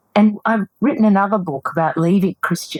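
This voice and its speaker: A woman speaks in an ordinary speaking voice at a moderate pace, her intonation lively and the sound dry and close with no echo. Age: 60s. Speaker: psychotherapist and author. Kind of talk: interview.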